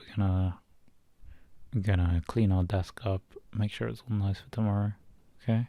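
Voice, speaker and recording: A man speaks at a moderate pace, soft-spoken and fairly low in pitch. His intonation stays fairly even. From British. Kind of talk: ASMR boyfriend roleplay.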